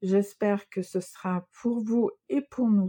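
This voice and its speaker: A woman's medium-pitched voice, dark and mellow in tone, with a dry, close sound and no echo. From Sweden. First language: Swedish (speaking French). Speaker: knitting and crochet designer, podcaster. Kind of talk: casual podcast monologue. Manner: hesitant, many fillers.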